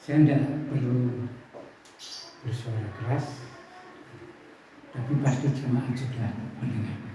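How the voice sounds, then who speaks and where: At a very slow pace with long, frequent pauses, a man at medium pitch speaks in monotone, flat intonation, with audible room echo and noticeable background noise. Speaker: preacher. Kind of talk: sermon.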